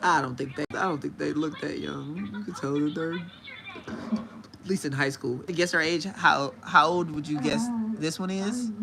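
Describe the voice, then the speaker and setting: Noticeable background noise accompanies a man speaking at a fairly slow pace. His intonation is lively. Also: fairly high pitch for a man, hardly any pauses. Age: 30s. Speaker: livestreamer. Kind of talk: casual chat.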